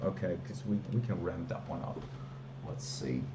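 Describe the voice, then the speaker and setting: Noticeable background noise and audible room echo around a man speaking at moderate speed. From Belgium, Flanders. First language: Dutch. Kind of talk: live stream, casual chat. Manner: hesitant, many fillers.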